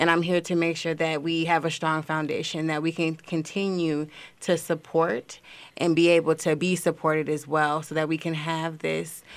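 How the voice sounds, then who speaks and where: On a very clean recording with a silent background, a woman with a plain, everyday voice, fairly low in pitch, talks at a moderate pace. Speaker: social media coordinator. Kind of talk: casual radio interview.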